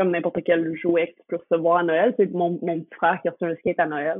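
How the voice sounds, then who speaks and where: This woman has a fairly low pitch and speaks with a Quebec accent. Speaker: professional skateboarder. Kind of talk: casual chat.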